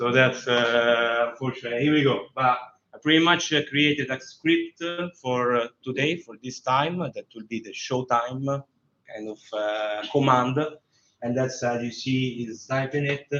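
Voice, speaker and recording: Speaking at a fairly slow pace with fairly even intonation, a man with a medium pitch and a strong Roman accent shows big swings in loudness. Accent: strong Roman Italian. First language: Italian. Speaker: tech demo presenter. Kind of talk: live tech demo. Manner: halting, many fillers.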